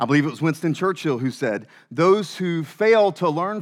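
In a very clean recording with a silent background, a man with a Southern US accent talks at a moderate pace, his fairly high voice carrying lively intonation. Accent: Southern American. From US South. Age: 30s. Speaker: pastor. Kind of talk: sermon. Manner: halting, many fillers.

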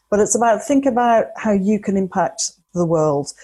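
Somewhat breathy and dark, mellow in tone, a woman at medium pitch speaks fairly quickly with lively intonation. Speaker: mindset coach. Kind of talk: interview. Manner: articulate.

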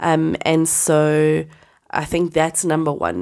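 A woman with a very deep, low pitch speaks in an animated tone on a very clean recording with a silent background. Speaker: podcast co-host. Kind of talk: casual chat.

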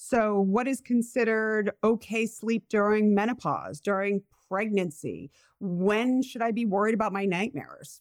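In a very clean recording with a silent background and a dry, close sound with no echo, a woman with an American accent uses an ordinary speaking voice at a fairly high pitch, with ordinary pitch variation and a moderate pace. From Rhode Island, US. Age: 40s. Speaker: sleep psychologist and podcast host. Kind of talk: casual chat, podcast intro.

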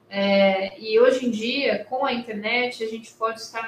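Over noticeable background noise, a woman talks at a very slow pace in a fairly high pitch with monotone, flat intonation. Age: 40s. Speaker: lawyer. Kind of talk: online talk to students.

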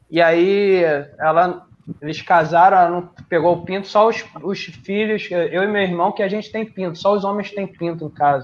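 Pitched high for a man, this voice moves at a moderate pace. His intonation stays fairly even. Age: 30s. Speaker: listener guest on comedy podcast. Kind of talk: casual chat.

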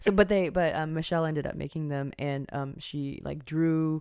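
At a fairly quick pace, a woman speaks with a very deep, low pitch and fairly even intonation. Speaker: podcast host. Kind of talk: casual chat. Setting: studio mic close to pop filter. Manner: soft-spoken.

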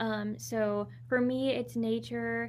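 A woman with an American accent, in audible room echo. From Southern California. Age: 20s. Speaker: holistic nutritionist and wellness coach. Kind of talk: interview.

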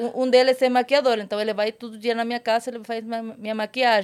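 Recorded very cleanly against a silent background, a woman speaks with a high pitch at a fairly quick pace. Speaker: adult content creator and actress. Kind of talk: casual chat.

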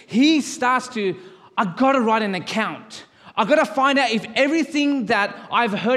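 There is audible room echo as a man with an Australian accent speaks at a fairly slow pace. His pitch is extremely high, with ordinary pitch variation. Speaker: pastor. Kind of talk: sermon. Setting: church service.

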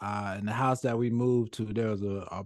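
Speaking in a plain, everyday voice with an American accent, a man keeps a moderate pace and fairly even intonation against a quiet background. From New York. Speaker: basketball podcast host. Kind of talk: casual chat.

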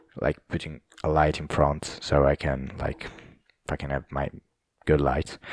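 With an Italian accent, a man speaks in a very deep, low voice with vocal fry, flat and monotone, at a fairly slow pace broken by long, frequent pauses, and the sound is dry and close with no echo. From southern Italy. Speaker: podcast host. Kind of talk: casual monologue. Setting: home recording with camera. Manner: halting.

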